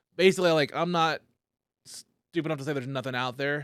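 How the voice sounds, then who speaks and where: In a very clean recording with a silent background, a man with an ordinary speaking voice talks at a fairly quick pace. His pitch is fairly high, and the sound is dry and close with no echo. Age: 30s. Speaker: comedian, podcast host. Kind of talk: casual podcast conversation.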